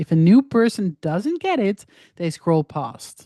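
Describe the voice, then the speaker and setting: Speaking fairly slowly in a non-native accent, a woman with a dark, mellow tone uses very wide pitch swings, recorded with a dry, close sound with no echo against a quiet background. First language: not English. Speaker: social media marketing coach. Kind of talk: online course lecture. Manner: casual, conversational.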